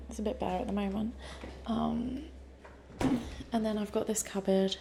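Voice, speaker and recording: In a British accent, a soft-spoken woman talks at a fairly quick pace, with audible room echo and noticeable background noise. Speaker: vlogger. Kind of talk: casual vlog tour. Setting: apartment.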